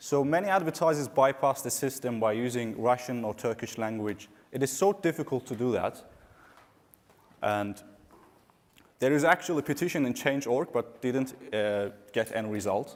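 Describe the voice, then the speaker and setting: A man with an Azerbaijani accent speaks at a medium pitch, leaving long, frequent pauses. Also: ordinary pitch variation, moderate pace. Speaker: digital marketing consultant. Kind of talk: conference talk.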